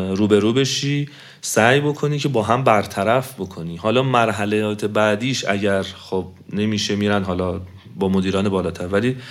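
Fairly low pitch from a man, moderate pace, and ordinary pitch variation. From Iran, Tehran. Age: 30s. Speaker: engineer, marathon runner. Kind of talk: interview. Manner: halting.

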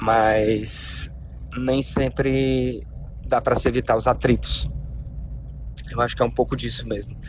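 Long, frequent pauses mark a man's fairly slow speech over noticeable background noise. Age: 20s. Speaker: listener sending a voice message. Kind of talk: recorded voice message.

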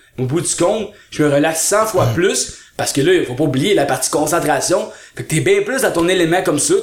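Noticeable background noise sits behind a man with a Quebec accent. He talks in an animated tone at a fairly quick pace and a fairly high pitch. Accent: Québécois French. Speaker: speed reading trainer. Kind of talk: casual interview.

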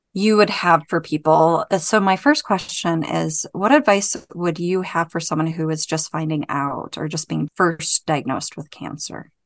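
A woman uses a normal speaking voice at a fairly low pitch and fairly slow pace, with a dry, close sound with no echo. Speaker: podcast co-host. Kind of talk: casual interview chat.

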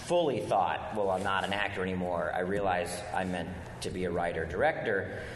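Over noticeable background noise, a man with an American accent speaks in a very deep, low pitch. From US East Coast, outside Washington, D.C. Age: 40s. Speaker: film writer-director and actor. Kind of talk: live podcast interview. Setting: stage with live audience at a convention.

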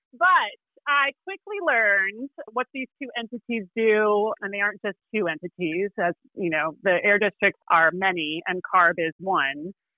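A woman with an American accent talks at a fairly slow pace and medium pitch in an ordinary speaking voice. Her intonation is lively. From Illinois. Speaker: environmental lawyer. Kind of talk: podcast interview explaining law.

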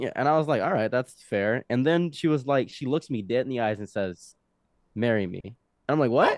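In a plain, everyday voice, a man with an American accent speaks at a fairly quick pace, with a medium pitch and ordinary pitch variation. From Egypt and Detroit. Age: 20s. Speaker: podcast guest telling life story. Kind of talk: casual interview storytelling. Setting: studio.

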